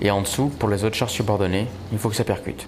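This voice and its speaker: Through noticeable background noise, a man talks at a fairly quick pace, fairly low in pitch and with fairly even intonation. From France (Brive, Corrèze). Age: 20s. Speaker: army tank platoon lieutenant. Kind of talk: interview testimony (recruitment video).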